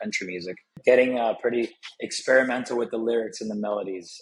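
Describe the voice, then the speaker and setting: A man with a Spanish accent. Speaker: country music artist. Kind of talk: interview.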